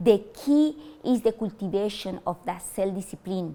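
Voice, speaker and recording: A woman with a Spanish accent, her medium pitch moving with ordinary variation. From Colombia. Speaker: university language lecturer. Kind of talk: motivational talk. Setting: stage with audience. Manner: halting, with fillers.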